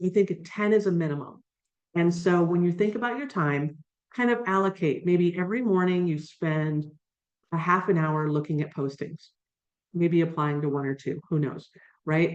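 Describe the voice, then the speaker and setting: This is a plain, everyday voice with ordinary pitch variation. The pace is moderate. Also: woman, fairly low pitch for a woman. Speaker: career coach and job search expert. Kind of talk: webinar presentation. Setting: video call.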